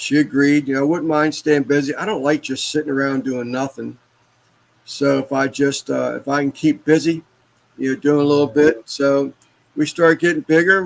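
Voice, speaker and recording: At a moderate pace, a man with a fairly high pitch talks in an ordinary speaking voice, his intonation fairly even. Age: 60s. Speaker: barbecue cook and embroiderer. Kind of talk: casual chat.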